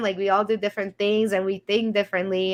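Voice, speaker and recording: A woman's medium-pitched voice with a Romanian accent, against a quiet background. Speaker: podcast host, business CEO. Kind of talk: casual interview chat.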